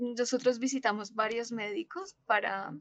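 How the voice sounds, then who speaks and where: A woman's fairly high-pitched voice at a fairly slow pace, in a dry, close sound with no echo. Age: 20s. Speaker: social worker and bereaved mother. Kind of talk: testimony.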